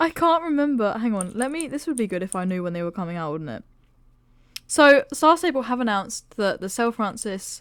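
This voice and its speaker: An animated woman with a British accent and a fairly high pitch, with very wide pitch swings at a fairly quick pace, on a very clean recording with a silent background. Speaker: gaming YouTuber. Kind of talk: casual vlog review.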